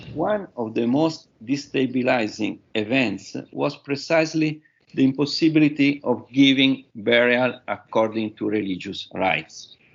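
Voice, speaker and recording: In an Italian accent, a man speaks at a fairly slow pace with a medium pitch and ordinary pitch variation. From Italy. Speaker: professor. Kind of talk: conference talk. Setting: webinar. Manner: halting.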